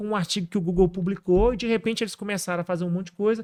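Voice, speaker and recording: A high-pitched man's voice, dry and close with no echo. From Brazil, northern Minas Gerais. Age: 30s. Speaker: AI entrepreneur. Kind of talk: podcast interview.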